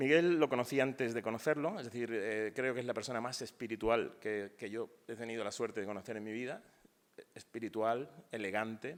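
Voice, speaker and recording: A man speaks at a medium pitch. His pace is fairly quick, with ordinary pitch variation. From Spain, Málaga. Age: 60s. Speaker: poet. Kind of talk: panel talk. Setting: university auditorium, panel discussion. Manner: hesitant, with fillers and false starts.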